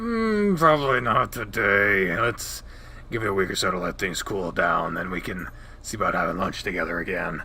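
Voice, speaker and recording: A man speaks in a put-on character voice. Background noise is clearly audible. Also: moderate pace. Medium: read story. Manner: warm, doting.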